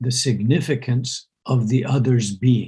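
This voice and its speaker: A man speaks very slowly at a medium pitch, somewhat breathy. His tone is dark and mellow. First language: Urdu. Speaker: university president and interviewer. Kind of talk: conversational dialogue. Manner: hesitant, with frequent fillers.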